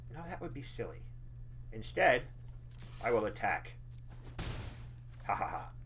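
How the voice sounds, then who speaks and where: Pausing long and often, a man speaks at a moderate pace with big swings in loudness and audible room echo. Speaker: game streamer. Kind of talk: live gameplay stream chat. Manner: casual, halting.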